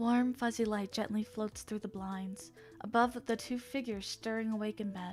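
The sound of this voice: The speaker uses an unforced reading voice. The intonation stays fairly even.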